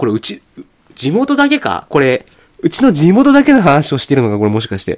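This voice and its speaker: A man is speaking. His pitch swings very widely. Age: 30s. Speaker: podcast host. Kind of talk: casual chat. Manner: halting.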